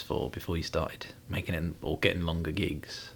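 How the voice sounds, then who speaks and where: Somewhat breathy, a man speaks at a moderate pace. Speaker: podcast host. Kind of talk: casual interview chat.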